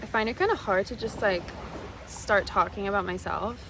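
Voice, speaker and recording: Noticeable background noise fills the clip. Over it, a woman's words come at a fairly quick pace. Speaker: content creator and fashion brand owner. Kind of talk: casual vlog Q&A. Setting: outdoors on a beach. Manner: loud, carefully enunciated.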